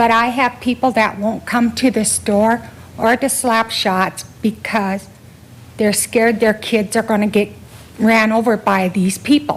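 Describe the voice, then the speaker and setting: At a fairly slow pace, a woman with a fairly high, somewhat breathy voice speaks with monotone, flat intonation and very even loudness. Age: 60s. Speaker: local business owner. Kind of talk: public comment at council meeting. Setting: city council chamber.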